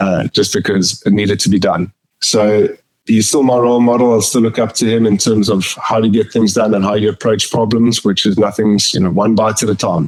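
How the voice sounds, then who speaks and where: Speaking with a South African accent, a man keeps a fairly quick pace and a fairly low pitch. His intonation is fairly even and his loudness very even. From South Africa, Pretoria. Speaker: company finance chief. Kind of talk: interview. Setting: podcast.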